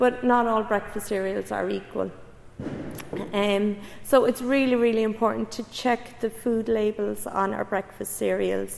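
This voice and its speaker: Against noticeable background noise, a woman with a Cork accent talks at a moderate pace in a fairly high pitch. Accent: Cork Irish. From Ireland, Cork area. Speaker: public health researcher. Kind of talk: public lecture.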